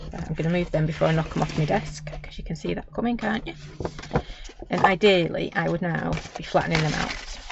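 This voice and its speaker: With a Manchester accent, the speaker goes at a fairly quick pace, breaking often for long pauses over noticeable background noise. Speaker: crafter. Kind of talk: live craft tutorial. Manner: chatty, casual.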